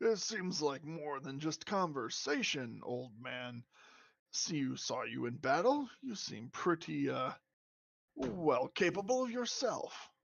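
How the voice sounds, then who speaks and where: At a fairly slow pace, a put-on character voice comes through raspy at a middle pitch. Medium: actual play. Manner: hearty, laughing.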